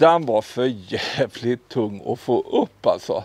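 A man is speaking. The sound is dry, with no echo. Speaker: hobby builder vlogger. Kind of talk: casual vlog chat. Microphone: lapel.

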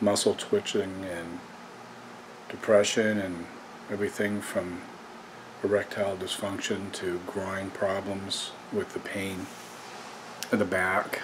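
A man's weary, fairly low voice in a monotone, flat intonation, with long, frequent pauses and noticeable background noise. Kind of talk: personal vlog talk. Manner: slow, halting, weary voice of illness. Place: home room. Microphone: phone near.

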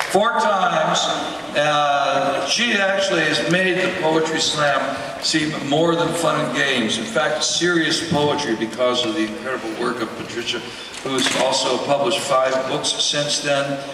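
There is audible room echo and noticeable background noise. Over it, a man with a fairly high pitch speaks with ordinary pitch variation. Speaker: award presenter, emcee. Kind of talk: award presentation, introducing speaker. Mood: jokey, warm. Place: stage.

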